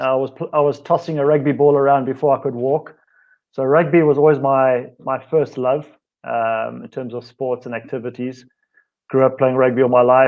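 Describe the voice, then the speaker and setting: A man talks at a moderate pace. His pitch lands in the medium range. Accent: South African. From South Africa. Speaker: fitness and wellness coach, co-host. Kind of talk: casual self-introduction. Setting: live online show.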